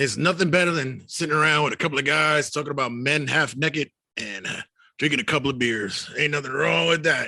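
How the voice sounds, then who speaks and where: A man does a loud, raspy put-on character voice at a very fast pace. His pitch is fairly high. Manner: loud, outdoor-style voice.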